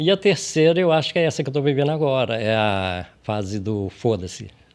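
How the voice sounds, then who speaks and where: Pitch swings very widely as the speaker keeps up a fairly quick pace. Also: man, medium pitch for a man. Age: 60s. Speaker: podcast host. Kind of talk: casual chat.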